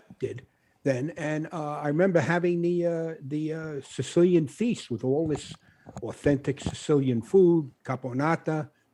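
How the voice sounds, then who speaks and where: A man with an American accent talks at a fairly slow pace in a dark, mellow tone. His pitch sits fairly high and varies in an ordinary way. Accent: Brooklyn, comes back stronger at times. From Brooklyn, New York (Bushwick). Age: 70s. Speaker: author. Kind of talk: interview on a podcast. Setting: studio with live audience. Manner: halting, many fillers.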